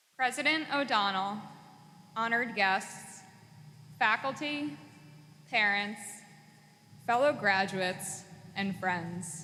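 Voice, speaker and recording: With an American accent, a woman speaks very slowly at a medium pitch, using lively intonation and long, frequent pauses, with audible room echo. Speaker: graduate student, valedictorian. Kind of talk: commencement speech. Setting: graduation ceremony.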